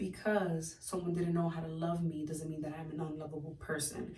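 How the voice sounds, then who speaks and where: With audible room echo around it, the talking goes at a fairly quick pace. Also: woman. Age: 20s. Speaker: lifestyle vlogger. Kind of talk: casual vlog monologue. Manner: hesitant, many fillers.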